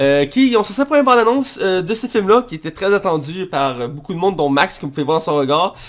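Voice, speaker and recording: Speaking in a Quebec accent, a man talks at a very fast pace in a high voice with very wide pitch swings and hardly any pauses. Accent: Québécois French. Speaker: podcast host, film critic. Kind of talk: casual chat.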